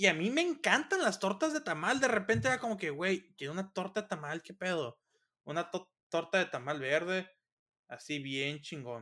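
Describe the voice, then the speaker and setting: A man with a high voice and a bright, sharp tone swings his pitch very widely at a moderate pace, recorded very cleanly over a silent background. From Mexico, Sinaloa (Los Mochis). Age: 20s. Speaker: engineering student. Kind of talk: casual chat.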